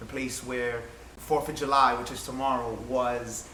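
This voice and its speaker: In an American accent, the delivery is monotone and flat, with audible room echo and noticeable background noise. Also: man. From Williamsburg, Brooklyn, New York. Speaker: community volunteer. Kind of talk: casual discussion.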